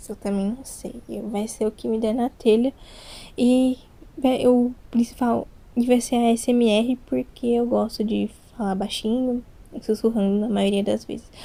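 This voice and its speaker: A soft-spoken woman with a fairly high pitch and a dark, mellow tone, flat monotone intonation, a fairly slow pace, and long, frequent pauses. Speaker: ASMR youtuber. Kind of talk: casual chat. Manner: not whispering today, slightly louder.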